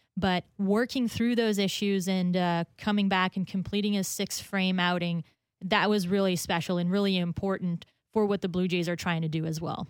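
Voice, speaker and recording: A woman with a plain, everyday voice and a medium pitch talks at a moderate pace with fairly even intonation, in a very clean recording over a silent background. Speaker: radio co-host. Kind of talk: casual sports talk radio.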